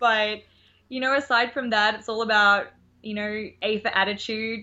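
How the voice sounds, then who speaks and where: In an Australian accent, the speech runs at a fairly slow pace with fairly even intonation and long, frequent pauses. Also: woman. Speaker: nanny. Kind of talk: casual interview chat.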